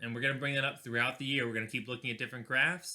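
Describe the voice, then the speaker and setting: At a medium pitch, a man speaks with a bright, sharp tone. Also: very clean recording, silent background. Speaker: physics teacher. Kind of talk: recorded video lesson. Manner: fast; casual.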